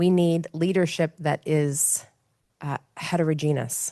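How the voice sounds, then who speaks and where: In a dry, close sound with no echo and a quiet background, a woman with an American accent speaks at a moderate pace with very deep, low pitch, a dark, mellow tone and fairly even intonation. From United States. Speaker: panelist on humanitarian leadership. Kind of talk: panel discussion.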